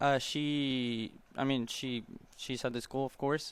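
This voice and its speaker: This man speaks with an Argentine accent. His pitch is fairly high. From Argentina. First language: Spanish. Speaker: college tennis player. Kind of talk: interview. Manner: halting.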